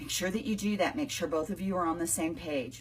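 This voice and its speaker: A woman speaks with lively intonation and a somewhat breathy voice. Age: 60s. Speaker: business coach. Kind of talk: live video chat. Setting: home, live online stream. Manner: casual, conversational.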